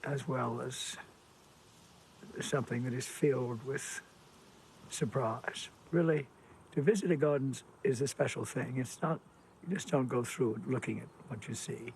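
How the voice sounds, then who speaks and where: A man's medium-pitched, somewhat breathy voice at a moderate pace, with ordinary pitch variation. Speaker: gardener. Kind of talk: documentary interview.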